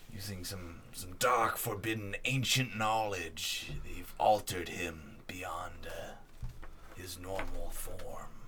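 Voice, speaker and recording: A man in a put-on character voice talks quietly at a very slow pace and a fairly low pitch, with long, frequent pauses. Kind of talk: archaic wise-mentor speech. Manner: hushed, grave, solemn.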